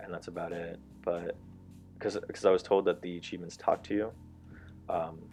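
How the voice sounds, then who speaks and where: Over music in the background, a man mumbles at a very fast pace. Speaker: gaming youtuber. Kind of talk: gameplay commentary. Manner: mumbling; halting.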